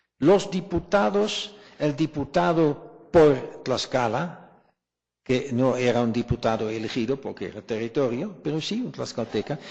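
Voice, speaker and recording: This man speaks with a non-native accent and a fairly high pitch. His intonation is lively. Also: fairly slow pace. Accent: foreign accent in Spanish. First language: not Spanish (speaking Spanish). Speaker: historian. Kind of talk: academic colloquium Q&A answer. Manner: halting, repeats words.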